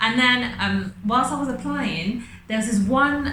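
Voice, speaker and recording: With noticeable background noise and audible room echo, a woman speaks in a London accent. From England (moved from France at ten). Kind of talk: casual interview chat. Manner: loud; animated.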